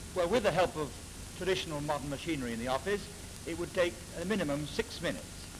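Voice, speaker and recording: This man speaks very fast at a high pitch, with ordinary pitch variation. Noticeable background noise sits under his voice. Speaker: business executive. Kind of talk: interview answer.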